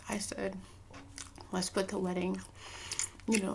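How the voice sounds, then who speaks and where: A soft-spoken woman talks at a moderate pace. There is noticeable background noise. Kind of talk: casual storytime talk to camera.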